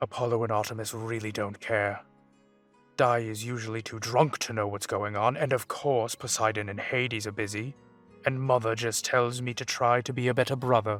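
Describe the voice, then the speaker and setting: Someone performs a put-on character voice at a moderate pace. Faint music sits in the background. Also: man, medium pitch for a man. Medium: audio drama. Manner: brooding, indignant.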